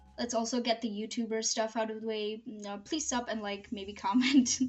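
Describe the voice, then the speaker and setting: A woman with a non-native accent, fairly high pitch, fairly even intonation, and a moderate pace, over noticeable background noise. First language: not English. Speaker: YouTuber, video essayist. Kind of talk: scripted commentary video.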